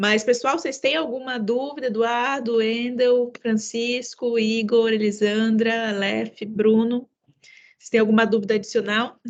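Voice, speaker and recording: A woman with a fairly high pitch talks at a fairly slow pace in a monotone, flat intonation, her loudness swinging widely. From São Paulo, mixed. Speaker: webinar host. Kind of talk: online masterclass moderation.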